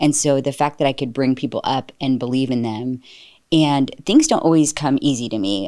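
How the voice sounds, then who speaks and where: A woman's very deep, low voice at a fairly quick pace, with ordinary pitch variation, in a very clean recording with a silent background. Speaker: staffing company leader. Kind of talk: interview conversation.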